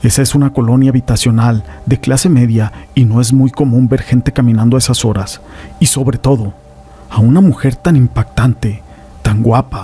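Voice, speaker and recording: Music plays in the background as a man speaks at a moderate pace. His medium pitch shows ordinary variation. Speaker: horror story narrator.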